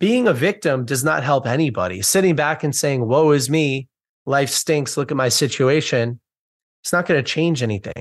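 A man with an American accent talks at a fairly high pitch, with ordinary pitch variation. The background is quiet. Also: moderate pace. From United States. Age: 20s. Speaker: author and book community founder. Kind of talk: interview.

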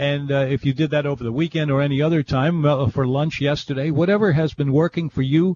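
A somewhat breathy man's voice, fairly high in pitch. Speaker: radio host. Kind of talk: casual chat. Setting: studio. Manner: halting.

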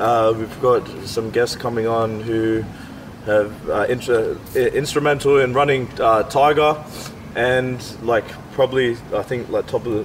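A man speaks with an Australian accent at a fairly slow pace. His intonation is fairly even, with noticeable background noise. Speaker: podcast host and MMA fighter. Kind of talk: casual chat. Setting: outdoors.

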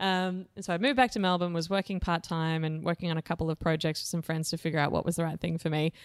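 A woman with an Australian accent talks at a very fast pace and a fairly low pitch, with hardly any pauses. The recording is very clean, with a silent background and a dry, close sound with no echo. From Australia, Blue Mountains, New South Wales. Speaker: startup organisation CEO. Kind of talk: interview. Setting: boardroom. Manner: animated.

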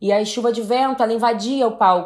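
Using a normal speaking voice, a woman talks at a moderate pace with a fairly high pitch and fairly even intonation. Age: 20s. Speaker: singer and reality show contestant. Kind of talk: casual chat.

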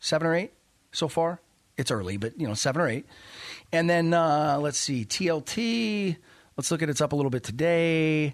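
A man with a fairly high pitch and an animated tone, lively intonation, moderate pace, long and frequent pauses, and a quiet background. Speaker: finance radio host and investment officer. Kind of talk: radio show monologue. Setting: radio studio.

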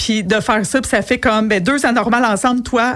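A woman with a Quebec accent at a fairly quick pace. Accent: Québécois French. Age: 40s. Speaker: entrepreneur and coach. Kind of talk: radio interview. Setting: radio studio.

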